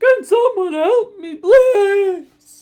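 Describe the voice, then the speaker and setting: A put-on character voice bellows out. It is squeaky, with an extremely high pitch. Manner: roaring, pleading.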